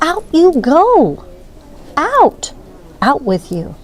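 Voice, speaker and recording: A put-on character voice from a woman, extremely high in pitch. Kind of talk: emphatic reading-aloud. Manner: excited.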